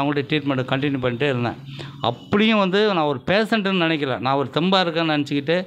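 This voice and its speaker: Over light background noise, a man with an ordinary speaking voice talks at a fairly high pitch with ordinary pitch variation. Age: 60s. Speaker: patient. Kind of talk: testimony. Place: home room. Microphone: handheld.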